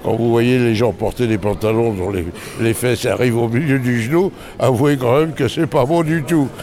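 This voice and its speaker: The loudness stays very even. Noticeable background noise runs underneath. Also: man, medium pitch for a man, ordinary pitch variation, moderate pace. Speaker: novelist and former couturier. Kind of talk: interview. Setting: book fair. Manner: halting.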